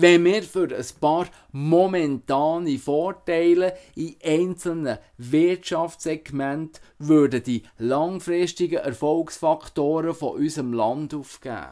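At a very slow pace against a quiet background, a man speaks with a fairly high pitch, a dark, mellow tone and ordinary pitch variation. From Switzerland, Emmental (Canton Bern); Canton Bern, Switzerland. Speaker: musician and political candidate. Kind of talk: campaign statement. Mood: earnest, persuasive. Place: home room. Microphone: webcam.

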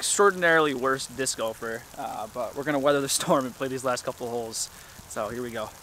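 A man speaks at a very fast pace with ordinary pitch variation, the sound dry with no echo and light background noise present. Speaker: disc golf vlogger. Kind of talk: casual vlog chat. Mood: amused, laughing at the weather. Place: open country. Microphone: phone near.

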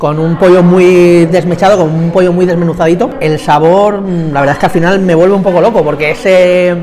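Over light background noise, a man with a high voice speaks at a fairly quick pace with fairly even intonation. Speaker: food reviewer. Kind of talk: casual vlog chat. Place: bar. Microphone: lapel.

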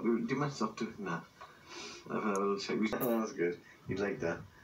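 With a Welsh accent, a man speaks at a moderate pace and with ordinary pitch variation. Light background noise can be heard. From South Wales. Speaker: grandfather. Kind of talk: casual home video talk. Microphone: old recording.

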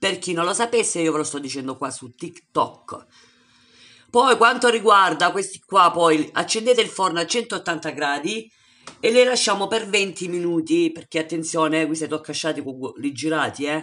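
With a bright, sharp tone, a woman speaks at a moderate pace and fairly low pitch, her intonation lively. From Salento, southern Italy (Lecce); Italy. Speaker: home cook video creator. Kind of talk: casual chat to viewers; cooking tutorial. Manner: animated. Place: kitchen. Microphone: phone near.

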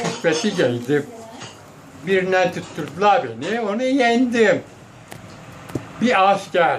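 A man at a high pitch, very slow pace and lively intonation, with long, frequent pauses and noticeable background noise. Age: 80s+. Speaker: former wrestler. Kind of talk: storytelling to family. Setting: outdoors.

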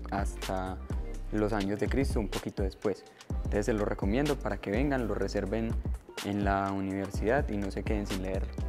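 Over clear music in the background, a man speaks at a moderate pace with a very deep, low pitch. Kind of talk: book recommendation to camera. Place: hall.

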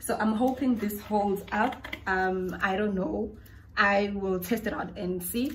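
A woman speaks with fairly even intonation. Light background noise is audible. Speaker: home vlogger. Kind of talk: casual vlog chat. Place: kitchen. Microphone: phone near.

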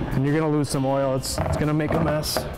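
Music sounds behind the speaker. He is a man talking at a fairly quick pace. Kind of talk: tutorial. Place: workshop.

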